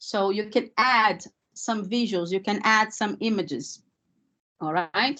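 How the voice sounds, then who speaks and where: Speaking at a fairly slow pace with a non-native accent, a woman uses lively intonation and a fairly high pitch with a bright, sharp tone against a quiet background. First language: not English. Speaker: language teacher trainer. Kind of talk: webinar presentation. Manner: hesitant, many fillers.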